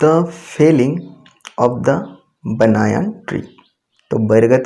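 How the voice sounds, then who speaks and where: A man's dark, mellow voice at medium pitch, with vocal fry and a Bengali accent. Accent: Bengali-accented Hindi and Indian English. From Bengal, India. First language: Bengali (speaking Hindi). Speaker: teacher. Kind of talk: tutorial. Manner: halting.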